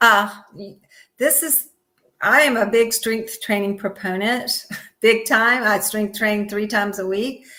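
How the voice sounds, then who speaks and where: A woman's fairly high, bright, sharp voice at a fairly slow pace, with ordinary pitch variation and long, frequent pauses. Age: 60s. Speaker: yoga teacher and physical therapist. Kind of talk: interview. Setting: live stream.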